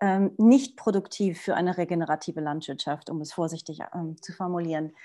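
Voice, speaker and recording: Against a quiet background, a woman with a dark, mellow tone speaks at a moderate pace with ordinary pitch variation. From Portugal. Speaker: social entrepreneur. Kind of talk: panel discussion. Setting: video call.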